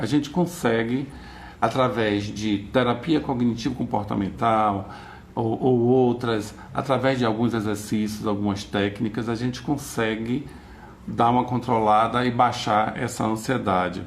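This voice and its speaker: A man at a fairly slow pace, with fairly even intonation and audible room echo. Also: medium pitch for a man. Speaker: psychologist giving a talk. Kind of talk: lecture.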